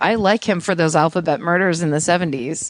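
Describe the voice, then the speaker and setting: A raspy, put-on character voice at a middle pitch and a fairly quick pace. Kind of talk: hard-boiled cop talk. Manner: tough, cop-style delivery.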